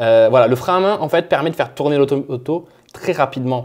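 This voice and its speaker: Very fast speech from a man carries ordinary pitch variation. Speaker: car tuning youtuber. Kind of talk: tutorial. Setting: away from home, with whiteboard marker. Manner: animated.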